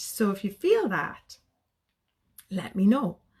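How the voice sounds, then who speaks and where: In a Geordie accent, a woman speaks at a fairly slow pace with a somewhat breathy, medium-pitched voice. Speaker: sobriety coach. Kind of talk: live stream talk to viewers. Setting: social media live video. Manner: animated.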